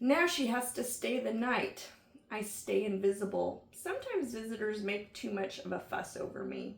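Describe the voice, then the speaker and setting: A woman puts on a raspy character voice at a fairly high pitch. Her pace is moderate. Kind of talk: bedtime story. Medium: read story.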